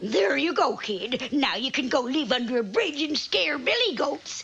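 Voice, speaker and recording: A female-sounding, cartoonish character voice with a high pitch speaks at a moderate pace. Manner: breezy, folksy.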